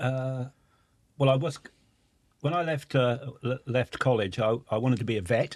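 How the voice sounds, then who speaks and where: A man with a Norfolk accent, medium pitch, ordinary pitch variation, a moderate pace and long, frequent pauses. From England, Norfolk. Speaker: timber industry executive. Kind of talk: podcast interview.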